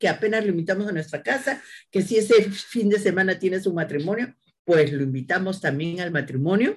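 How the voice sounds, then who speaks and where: At a fairly quick pace, a woman speaks at a medium pitch in a somewhat breathy voice. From Peru, Lima (Barranco). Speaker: agricultural engineer and university lecturer. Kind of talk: interview.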